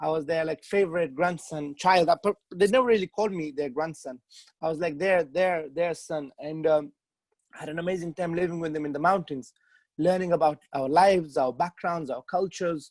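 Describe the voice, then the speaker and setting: Talking at a fairly quick pace with fairly even intonation, a man with a Pashto accent and a high voice sounds dry and close, with no echo. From Afghanistan. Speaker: author. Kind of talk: interview. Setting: video call. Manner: halting, many repetitions.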